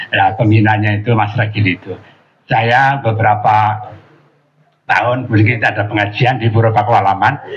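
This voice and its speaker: Fairly low-pitched, a man speaks with monotone, flat intonation. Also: moderate pace. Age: 80s+. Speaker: Islamic preacher. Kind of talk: religious talk. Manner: halting, many fillers.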